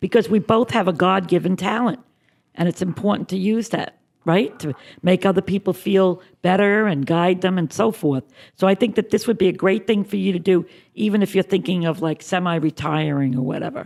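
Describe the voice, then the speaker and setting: At a fairly quick pace, a woman talks in an ordinary speaking voice, medium in pitch with ordinary pitch variation. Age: 60s. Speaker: psychic. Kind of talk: psychic reading on call-in radio.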